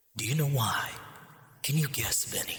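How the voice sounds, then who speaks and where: A man whispers in a put-on character voice. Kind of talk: video game villain monologue. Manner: cold, calm, hateful.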